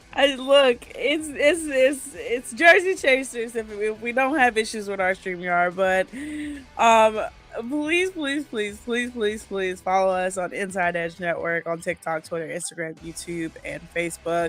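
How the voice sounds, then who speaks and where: With music in the background, a woman speaks at a fairly slow pace, her fairly high pitch swinging very widely. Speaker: podcast co-host. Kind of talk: casual chat.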